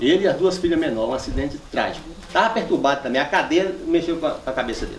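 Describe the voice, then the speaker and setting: The speech comes at a very fast pace with hardly any pauses. Noticeable background noise runs throughout. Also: man. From northwest Minas Gerais, Brazil. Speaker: rural land-rights leader and poet. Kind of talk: public talk to a live audience.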